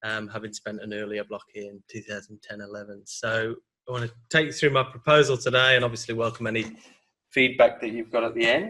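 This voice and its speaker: A man with a British accent at a fairly quick pace, medium pitch, fairly even intonation, big swings in loudness and a bright, sharp tone. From UK. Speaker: PhD student. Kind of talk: academic seminar presentation. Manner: hesitant, repeats words.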